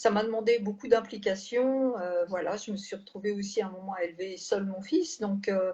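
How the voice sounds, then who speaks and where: A woman with a medium pitch and ordinary pitch variation speaks at a moderate pace, somewhat breathy, with hardly any pauses. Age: 60s. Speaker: health care manager, former nurse. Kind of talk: testimony. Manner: halting, many hesitations.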